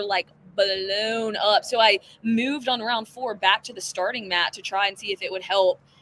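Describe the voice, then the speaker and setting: With a Southern US accent, a woman speaks at a fairly high pitch, her loudness swinging widely while her pitch varies in an ordinary way. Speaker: CrossFit athlete. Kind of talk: casual interview. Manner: fast.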